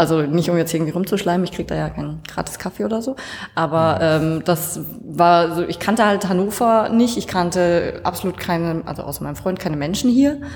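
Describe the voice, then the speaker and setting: A woman talks at a fairly quick pace with lively intonation and a slight Franconian accent. Noticeable background noise sits behind her. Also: fairly low pitch for a woman. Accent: slight Franconian, barely noticeable. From Franconia, Bavaria. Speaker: coworking space member. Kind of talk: casual interview.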